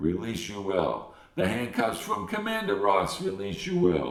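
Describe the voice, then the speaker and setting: Using a put-on character voice, a man talks at a fairly low pitch and moderate pace, with a slight echo. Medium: read story. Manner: inverted word order, terse.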